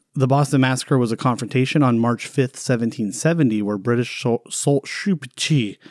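In a very clean recording with a silent background and a dry, close sound with no echo, a man talks at a fairly quick pace with hardly any pauses, a normal speaking voice, medium pitch and ordinary pitch variation. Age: 40s. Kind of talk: casual history podcast chat.

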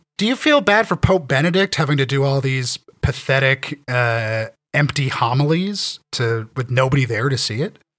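In an ordinary speaking voice, a man with a Canadian accent talks at a moderate pace, fairly high in pitch and with lively intonation. The sound is dry and close with no echo, on a very clean recording with a silent background. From Ontario, Canada. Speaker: writer and critic. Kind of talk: casual chat.

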